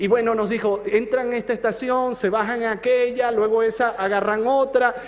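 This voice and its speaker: A man speaks at a high pitch. Audible room echo and noticeable background noise surround him. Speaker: pastor. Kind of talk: sermon. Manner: slow.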